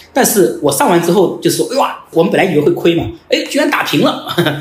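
Speaking at a very fast pace, a man uses a high pitch with very wide pitch swings. Audible room echo and noticeable background noise fill the recording. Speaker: company founder. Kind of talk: interview conversation.

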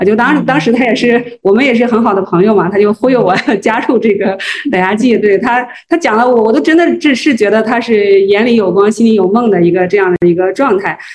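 At a fairly quick pace, a woman with a fairly high pitch talks over noticeable background noise. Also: ordinary pitch variation, very even loudness. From Henan, Zhengzhou. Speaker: food brand marketing executive. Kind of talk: interview. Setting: livestream. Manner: hesitant, many fillers.

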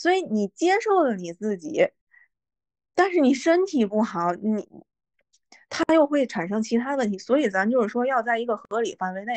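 Against a quiet background, a woman speaks at a moderate pace with very wide pitch swings in a dry, close sound with no echo. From northern China. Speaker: podcast co-host. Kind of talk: casual chat.

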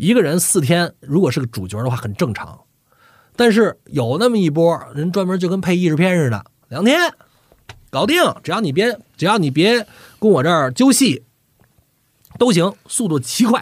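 With long, frequent pauses, a man talks in a high voice that moves in very wide pitch swings. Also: moderate pace. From northern China. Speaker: voice actor and dubbing director. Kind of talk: casual chat.

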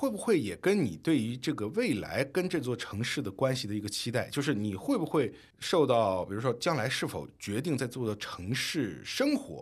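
Over a silent background on a very clean recording, a man speaks at a moderate pace and medium pitch, his voice showing vocal fry and very wide pitch swings. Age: 30s. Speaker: podcast co-host, former finance worker. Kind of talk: casual chat.

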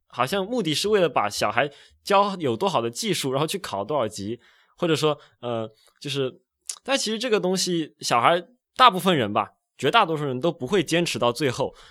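A man talks at a fairly quick pace in a fairly high voice. His tone is bright and sharp, with very wide pitch swings. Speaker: music student. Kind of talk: casual chat.

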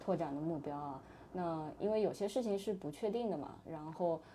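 A woman speaks in a dark, mellow tone with ordinary pitch variation. Audible room echo surrounds her voice. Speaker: startup employee, former management consultant. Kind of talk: casual interview chat.

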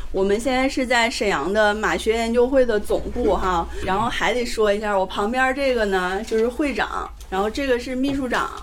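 A woman with a fairly high pitch talks at a moderate pace with hardly any pauses amid noticeable background noise. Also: ordinary pitch variation. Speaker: event host. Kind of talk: casual live event chat. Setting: live event with audience.

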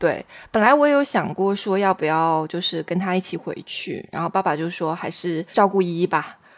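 This woman has a normal speaking voice, with medium pitch, ordinary pitch variation and a moderate pace. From Xiamen, Fujian, China. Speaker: podcast co-host, new mother. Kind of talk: casual chat.

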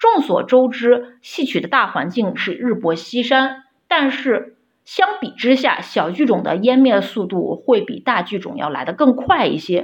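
With very wide pitch swings, the speech unfolds at a fairly slow pace. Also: woman, high pitch for a woman. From Shaanxi, Xi'an. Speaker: opera fan. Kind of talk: prepared recorded message. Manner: formal.

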